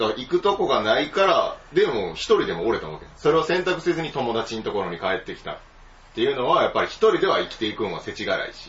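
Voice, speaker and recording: Speaking with a Kansai accent at a very fast pace, a man shows big swings in loudness against noticeable background noise. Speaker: podcast host. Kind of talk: casual chat.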